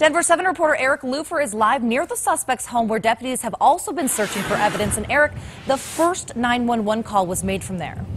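Lively intonation at a fairly quick pace, hardly any pauses, against noticeable background noise. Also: woman, high pitch for a woman. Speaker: news anchor. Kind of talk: news reading. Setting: studio. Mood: serious, measured. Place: studio. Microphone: lapel.

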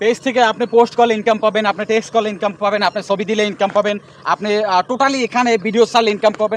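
In an animated tone, a man speaks at a high pitch against noticeable background noise. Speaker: social media tutorial youtuber. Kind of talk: tutorial. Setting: outdoors. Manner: repetitive, animated.

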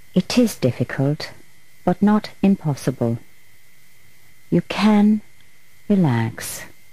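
Speaking very slowly with long, frequent pauses, a woman uses a fairly low pitch, a dark, mellow tone, a somewhat breathy quality and very wide pitch swings. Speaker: relaxation guide. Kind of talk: guided relaxation. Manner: quiet, soft-spoken.

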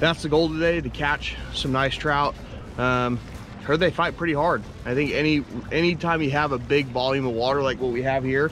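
Fairly even intonation in a dry sound with no echo, with noticeable background noise. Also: man. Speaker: fishing vlogger. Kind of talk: casual vlog chat. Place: boat. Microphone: camera far.

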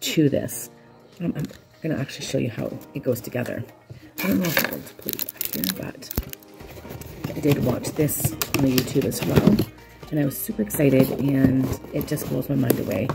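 Music plays in the background as a woman speaks at a moderate pace. She leaves long, frequent pauses. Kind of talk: casual tutorial vlog. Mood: excited, upbeat. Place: home room. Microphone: phone near.

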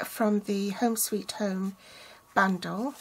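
Over light background noise, a woman talks with fairly even intonation. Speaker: craft demonstrator. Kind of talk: tutorial.

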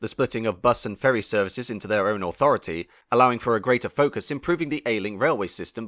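In a dry, close sound with no echo, a man with a British accent talks at a very fast pace with lively intonation. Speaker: railway history video narrator. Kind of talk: scripted narration. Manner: formal.

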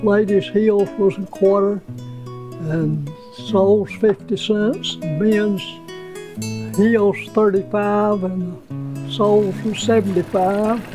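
With a Southern US accent, a man with a high voice talks very slowly, leaving long, frequent pauses over clear background music. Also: ordinary pitch variation. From South Carolina. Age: 90s. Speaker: shoe repairman. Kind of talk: interview answer. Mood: warm, reminiscing. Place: workshop.

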